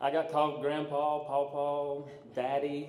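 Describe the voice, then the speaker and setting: Against noticeable background noise and audible room echo, a man speaks at medium pitch with a Southern US accent. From US South, mountains of North Carolina. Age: 40s. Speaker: police academy graduate. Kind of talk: graduation speech. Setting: stage with audience. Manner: halting.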